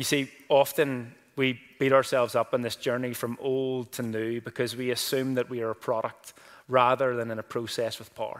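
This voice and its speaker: Monotone, flat intonation from a man, medium in pitch and moderate in tempo. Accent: Northern Irish. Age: 20s. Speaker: pastor. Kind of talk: sermon. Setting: church. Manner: casual.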